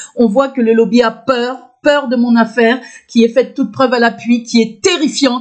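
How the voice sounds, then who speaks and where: Loud speech at a moderate pace with fairly even intonation. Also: woman, high pitch for a woman. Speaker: video blogger. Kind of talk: personal testimony monologue. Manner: halting, many fillers and restarts.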